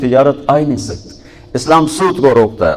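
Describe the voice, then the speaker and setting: A man speaks in an ordinary speaking voice with ordinary pitch variation. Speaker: Islamic preacher. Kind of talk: religious sermon to a youth audience.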